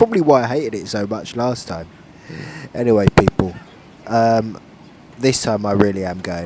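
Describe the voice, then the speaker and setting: A man talks at a fairly quick pace with a London accent. His fairly low pitch comes through noticeable background noise. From London, England. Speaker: travel vlogger. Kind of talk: casual vlog narration. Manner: casual, hesitant with fillers.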